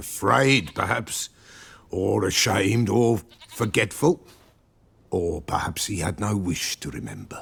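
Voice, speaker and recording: A man's put-on character voice, fairly low in pitch, at a fairly slow pace with long, frequent pauses. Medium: video game. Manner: cryptic, archaic inverted phrasing.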